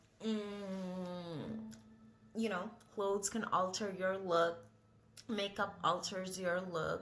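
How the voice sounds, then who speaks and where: A woman speaks at a very slow pace in a medium pitch with ordinary pitch variation and a non-native accent. Noticeable background noise and audible room echo are present. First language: not English. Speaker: vlogger. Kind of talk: casual vlog monologue. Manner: rambling, hesitant with many fillers.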